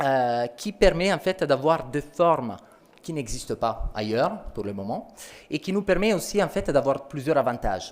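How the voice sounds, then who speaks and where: With an Italian accent, a man with a fairly high pitch talks at a fairly slow pace and his pitch swings very widely. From Italy. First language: Italian (speaking French). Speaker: company sales representative. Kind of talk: product presentation.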